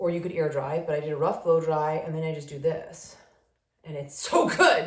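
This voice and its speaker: The woman has a fairly low voice and a moderate pace. Room echo is audible. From New England, Rhode Island. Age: 40s. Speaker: lifestyle vlogger. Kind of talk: casual chat. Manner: animated.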